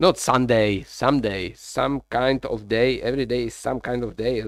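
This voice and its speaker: The speaker has a Czech accent and ordinary pitch variation. The pace is fairly slow. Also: man. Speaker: live streamer, workshop builder. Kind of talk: casual live-stream chat while working.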